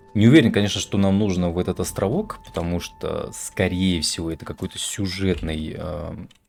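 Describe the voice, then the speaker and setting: A man with a very deep, low pitch talks at a moderate pace with hardly any pauses and ordinary pitch variation. Noticeable background noise is present. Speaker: video game streamer. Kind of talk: let's play commentary. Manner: casual, hesitant with fillers.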